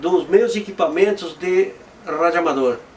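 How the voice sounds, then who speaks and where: At a moderate pace, the voice carries lively intonation over noticeable background noise. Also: man. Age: 60s. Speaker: amateur weather forecaster. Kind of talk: interview testimony. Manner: halting, with repetitions.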